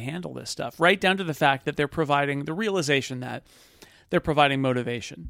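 A man with a plain, everyday voice, a fairly high pitch and ordinary pitch variation. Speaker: podcast host. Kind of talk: casual chat. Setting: live event, table in room.

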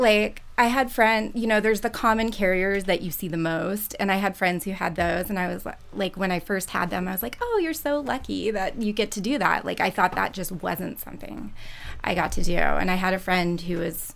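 With an ordinary speaking voice, a woman talks at a medium pitch and moderate pace with ordinary pitch variation. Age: 30s. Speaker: elementary school teacher, twin mother. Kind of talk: panel discussion. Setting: studio. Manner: casual with fillers.

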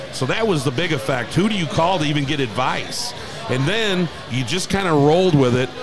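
Noticeable background noise sits behind a man speaking with an American accent at a fairly quick pace. His fairly high pitch moves with lively intonation. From St. Louis, Missouri. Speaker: bar owner. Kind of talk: interview. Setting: live radio remote at a bar.

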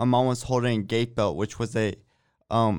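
On a very clean recording with a silent background, a man speaks in an unremarkable speaking voice, medium in pitch with fairly even intonation. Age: 20s. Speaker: college student, brain injury survivor. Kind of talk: interview.

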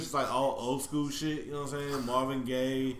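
With audible room echo, someone in an American accent speaks at a moderate pace. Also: man. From Houston, Texas. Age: 30s. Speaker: podcast co-host. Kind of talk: casual chat.

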